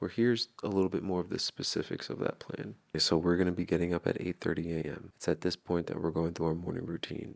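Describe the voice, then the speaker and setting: A quiet man with a very deep, low pitch and ordinary pitch variation talks at a very fast pace with hardly any pauses. The sound is dry and close, with no echo. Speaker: vlogger narrating his relationship content. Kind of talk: recorded voice-over narration. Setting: home at night while partner sleeps. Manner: quiet, hushed.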